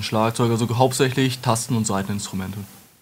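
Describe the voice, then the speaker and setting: This man talks at a very fast pace with a medium pitch. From Lower Saxony, Germany (Wolfenbüttel). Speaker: metal singer and retail worker. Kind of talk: casual interview.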